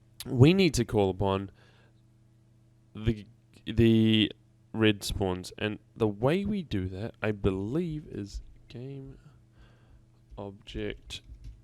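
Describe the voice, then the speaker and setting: A man speaks at a very slow pace, his intonation lively. He leaves long pauses often. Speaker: game development tutorial maker. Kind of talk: tutorial. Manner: halting, many fillers.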